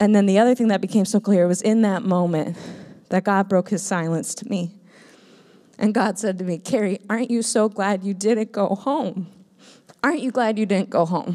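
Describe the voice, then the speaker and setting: A woman's dark, mellow voice at a moderate pace with ordinary pitch variation. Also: medium pitch for a woman. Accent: American. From Minnesota, US. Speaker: missionary. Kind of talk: testimony. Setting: church.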